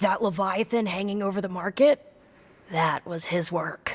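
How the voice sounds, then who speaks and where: A woman puts on a raspy character voice. Her pitch is medium and her pace moderate. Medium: video game. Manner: earnest.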